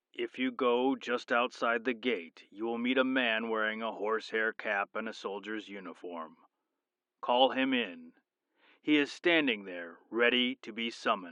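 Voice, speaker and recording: A man with a medium pitch puts on a character voice. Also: moderate pace. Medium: read story. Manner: authoritative.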